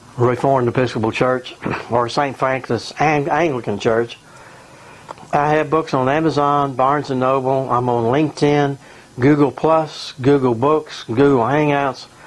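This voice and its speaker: A man's fairly high voice, flat and monotone, at a very even loudness over noticeable background noise. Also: moderate pace. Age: 70s. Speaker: retired pastor and author. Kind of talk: recorded video message. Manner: halting.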